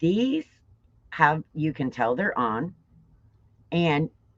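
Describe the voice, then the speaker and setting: A woman with a very deep, low pitch speaks with very wide pitch swings. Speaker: livestream product presenter and car show videographer. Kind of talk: live product demo stream. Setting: livestream. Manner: casual, chatty.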